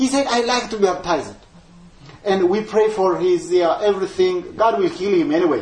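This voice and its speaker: At a moderate pace, a man talks in a high voice with lively intonation and very even loudness. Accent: Ethiopian. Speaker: missionary evangelist. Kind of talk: talk to a church group about his life and ministry. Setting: church gathering with audience. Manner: halting, apologetic about his English.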